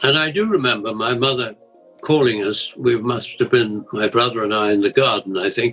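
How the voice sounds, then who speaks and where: Music plays in the background. A man talks with ordinary pitch variation. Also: medium pitch for a man, moderate pace. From England, Essex. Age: 80s+. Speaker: war survivor. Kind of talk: interview answer.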